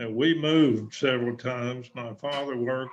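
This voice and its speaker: This man talks at a fairly slow pace with a Texan accent. His medium pitch follows a fairly even intonation. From West Texas. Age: 90s. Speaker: war veteran. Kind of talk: interview. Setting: video call.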